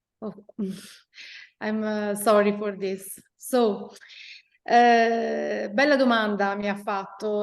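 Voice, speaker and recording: In an Italian accent, a woman speaks in a fairly high voice with monotone, flat intonation. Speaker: chamber of commerce president. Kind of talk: panel talk. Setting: remote video call from office. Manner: hesitant in English.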